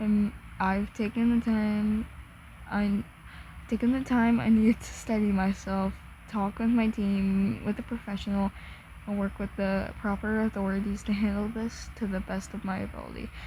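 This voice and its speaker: A soft-spoken woman talks in a monotone, flat intonation, her tone dark, mellow and somewhat breathy. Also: medium pitch for a woman, moderate pace. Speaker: content creator reacting to a statement. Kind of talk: reading aloud. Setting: at home, in own room. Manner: halting.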